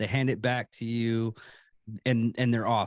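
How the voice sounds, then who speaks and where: Against a quiet background, a man with an American accent is recorded with a dry, close sound with no echo. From Texas. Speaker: podcast host, military veteran. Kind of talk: casual chat.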